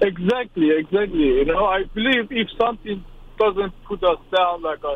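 This man's voice sits high in pitch, with ordinary pitch variation and a moderate pace. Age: 30s. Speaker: caller. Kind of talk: phone-in advice call.

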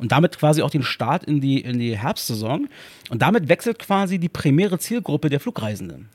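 An animated, fairly quick delivery with very wide pitch swings, dry and close with no echo. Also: man, fairly high pitch for a man. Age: 30s. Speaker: podcast co-host. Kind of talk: casual chat.

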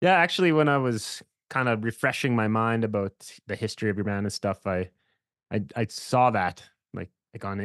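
Over a quiet background, a man with a fairly low voice talks very fast with ordinary pitch variation, the sound dry and close with no echo. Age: 30s. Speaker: podcast host and small record label owner. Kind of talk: casual chat.

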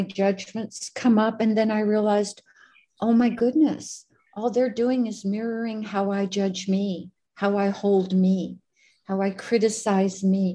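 At a fairly slow pace, a woman speaks at medium pitch in a dark, mellow tone, somewhat breathy, with fairly even intonation. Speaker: group facilitator. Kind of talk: group study discussion, reading aloud.

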